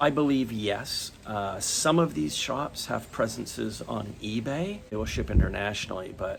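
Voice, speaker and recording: A man's medium-pitched voice in a relaxed tone, lively intonation and a moderate pace with hardly any pauses, over noticeable background noise. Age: 60s. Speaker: watch YouTuber. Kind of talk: casual Q&A vlog. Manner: relaxed, hesitant with fillers.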